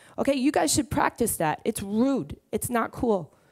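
A woman talks with a Brooklyn accent. The background is quiet. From Brooklyn, New York. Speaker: entrepreneur. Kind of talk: conference talk. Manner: blunt, casual, profane. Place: stage. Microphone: headset.

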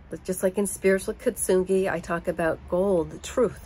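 A woman with an American accent, at a moderate pace. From United States. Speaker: vlogger. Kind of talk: personal monologue. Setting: home. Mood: earnest, emotional. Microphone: phone near.

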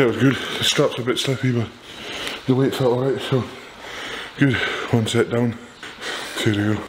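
A man at a moderate pace with fairly even intonation, amid noticeable background noise. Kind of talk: casual vlog chat. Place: gym. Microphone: phone near.

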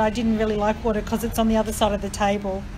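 Over noticeable background noise, a woman with an Australian accent speaks very fast at a fairly high pitch. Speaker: podcast host. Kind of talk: casual interview. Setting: outdoors. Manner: animated.

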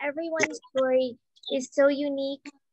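A woman at a high pitch and fairly slow pace, with a dry sound, no echo, and noticeable background noise. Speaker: community group organizer; event host. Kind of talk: casual chat. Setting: video call. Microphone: video call.

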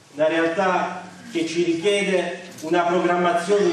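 A man speaks very slowly in a high, monotone voice with flat intonation. Strong room echo and light background noise surround the recording. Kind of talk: public speech. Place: hall.

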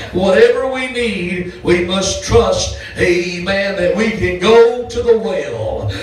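A man at a very slow pace amid audible room echo. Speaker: pastor. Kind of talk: sermon. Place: church. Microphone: handheld.

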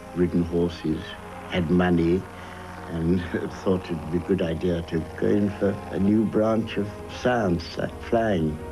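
Music plays in the background while the speech moves at a fairly slow pace with long, frequent pauses. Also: man, very deep, low pitch for a man. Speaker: war veteran. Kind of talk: interview answer.

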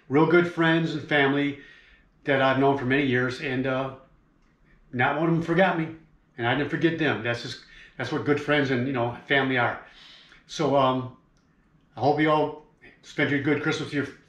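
A man's fairly even intonation with long, frequent pauses and audible room echo. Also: moderate pace. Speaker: fishing vlogger. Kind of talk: casual vlog chat. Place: home room. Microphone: camera far.

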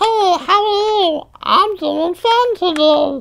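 A squeaky, put-on character voice at an extremely high pitch creeps along at a very slow pace.

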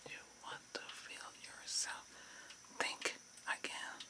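A man's whisper, soothing and calm in tone, at a very slow pace over noticeable background noise. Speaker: reiki healer. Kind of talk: guided relaxation / reiki healing session. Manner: whispered, soothing, calm.

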